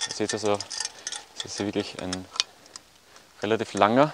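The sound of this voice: This man talks at a moderate pace with a fairly low pitch, a fairly bright tone and ordinary pitch variation.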